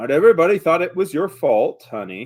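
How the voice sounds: A man puts on a gravelly character voice pitched high for him. He moves at a fairly quick pace, with very wide pitch swings.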